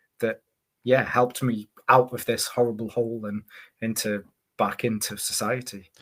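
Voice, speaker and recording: A man's medium-pitched voice with a Staffordshire accent, at a moderate pace with long, frequent pauses. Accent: English Midlands (Staffordshire). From Staffordshire Moorlands, England. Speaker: EDC YouTuber. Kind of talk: casual interview chat. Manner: repetitive, halting.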